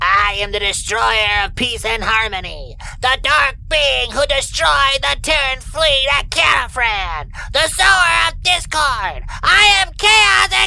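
This is a put-on character voice with a high pitch. It runs with hardly any pauses. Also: fairly slow pace. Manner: weird, sinister, menacing.

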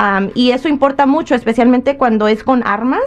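Noticeable background noise sits behind a woman with a high pitch. She talks at a moderate pace with ordinary pitch variation. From Michoacán, Mexico. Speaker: immigration legal advisor. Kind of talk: radio call-in advice.

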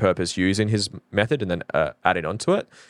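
On a very clean recording with a silent background and a dry, close sound with no echo, a man with an Australian accent speaks at a moderate pace with a fairly low pitch. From Norfolk Island. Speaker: fulfillment coach. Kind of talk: podcast interview. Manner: halting.

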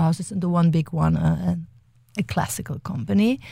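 Somewhat breathy and fairly low-pitched, this woman speaks in a dark, mellow tone with a German accent at a fairly quick pace. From Germany. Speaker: dance company artistic director. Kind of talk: interview. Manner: halting.

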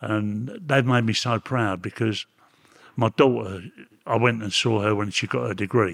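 A man at a moderate pace, fairly low in pitch with ordinary variation, dry and close with no echo, very cleanly recorded over a silent background. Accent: Cockney. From London, England. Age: 80s+. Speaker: former prisoner. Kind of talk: interview.

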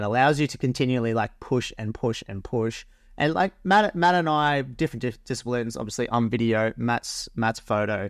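A man with an Australian accent, medium in pitch, at a fairly quick pace with hardly any pauses and ordinary pitch variation. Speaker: podcast co-host and wedding videographer. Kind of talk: casual interview chat.

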